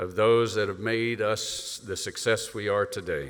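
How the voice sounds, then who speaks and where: A man with a Southern US accent at a moderate pace, plus audible room echo. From US South. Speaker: retired air force leader, event host. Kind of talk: keynote introduction speech. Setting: stage with audience.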